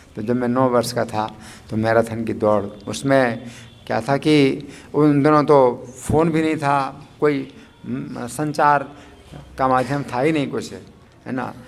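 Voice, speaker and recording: This man speaks at a medium pitch with fairly even intonation and long, frequent pauses. Noticeable background noise runs under his voice. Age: 60s. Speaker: spiritual teacher. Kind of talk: religious discourse. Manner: hesitant, with fillers.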